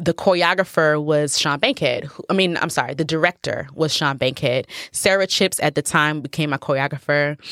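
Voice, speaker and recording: A woman's very deep, low voice with an American accent, fairly even intonation, moderate pace and hardly any pauses, in a dry, close sound with no echo. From Nigeria, raised in the US. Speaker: professional dancer and choreographer. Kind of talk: casual interview chat. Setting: at the host's house.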